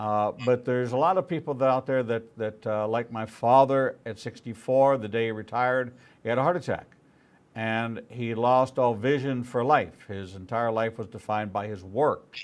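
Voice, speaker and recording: Speaking at a moderate pace with ordinary pitch variation, a man has an unremarkable speaking voice. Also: medium pitch for a man. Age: 60s. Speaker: rabbi and talk show host. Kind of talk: interview.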